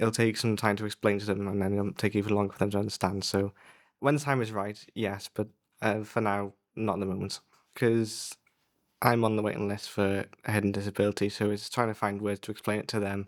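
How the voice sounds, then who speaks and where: Fairly quick, flat, monotone delivery from a man with a fairly low pitch, on a very clean recording with a silent background. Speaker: young podcast participant. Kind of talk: interview answers.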